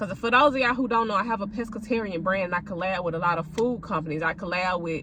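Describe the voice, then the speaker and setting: This woman has a plain, everyday voice and talks at a fairly quick pace with ordinary pitch variation. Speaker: content creator and food vlogger. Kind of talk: casual vlog rant.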